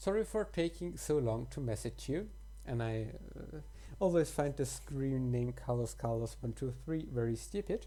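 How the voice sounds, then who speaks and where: A woman with a German accent at a moderate pace. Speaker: let's play gamer. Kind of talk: reading game text aloud with commentary; casual commentary. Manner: halting.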